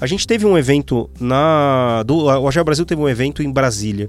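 A man speaks with a normal speaking voice. His pitch is medium. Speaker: podcast co-host, agile consultant. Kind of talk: casual panel discussion.

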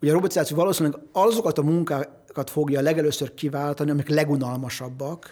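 This man has an unremarkable speaking voice. His pitch sits fairly high and varies an ordinary amount. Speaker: economist. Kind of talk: interview. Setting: studio.

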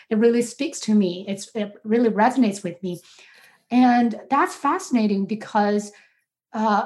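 A somewhat breathy woman with a Chinese accent, a fairly high pitch and lively intonation. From China, Beijing. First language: Mandarin Chinese. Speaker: sociology professor. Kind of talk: academic interview.

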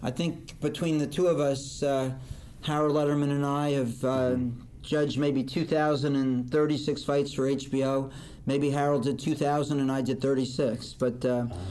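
In an American accent, a man with a dark, mellow tone speaks at a fairly slow pace with monotone, flat intonation and very even loudness, amid audible room echo. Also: fairly high pitch for a man. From northern New Jersey. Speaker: boxing judge and lawyer. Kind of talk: interview.

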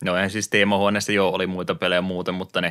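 In a very clean recording with a silent background, a man with a very deep, low pitch and a bright, sharp tone speaks at a very fast pace in a monotone, flat delivery. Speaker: podcast co-host, retro gaming. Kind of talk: casual chat. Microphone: new mixer equipment.

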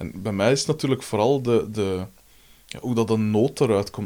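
A man with a Flemish accent and a dark, mellow, fairly low-pitched voice speaks fairly quickly with ordinary pitch variation. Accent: Flemish Dutch. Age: 30s. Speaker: podcast host, musician. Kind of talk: casual interview.

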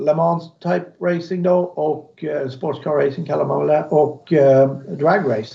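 A man's dark, mellow tone comes at a fairly slow speed. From Sweden, Småland (Alvesta). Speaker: car builder, motorsport company owner. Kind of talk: interview.

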